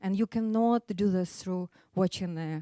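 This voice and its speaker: A woman with an Eastern European accent speaks at a fairly slow pace and medium pitch, with ordinary pitch variation and a dark, mellow tone. The sound is dry and close with no echo, on a very clean recording with a silent background. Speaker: business school study abroad coordinator. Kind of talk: short presentation.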